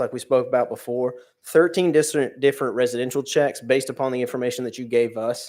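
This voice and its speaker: This man talks at a very fast pace with a medium pitch and fairly even intonation. The recording is very clean, with a silent background. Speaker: police officer giving monthly report. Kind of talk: report to town council. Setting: town council meeting.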